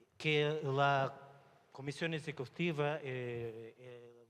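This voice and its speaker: A man talks with a Portuguese accent. His pitch is fairly high. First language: Portuguese (speaking Spanish). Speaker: IT director at a telecom company. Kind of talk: panel discussion.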